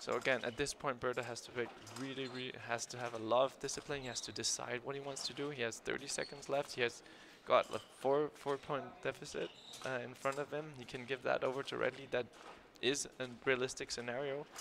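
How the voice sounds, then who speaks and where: A man with a non-native accent, medium pitch, monotone, flat intonation and a fairly quick pace. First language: not English. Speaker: fencing expert analyst. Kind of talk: live commentary. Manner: halting, repeats words.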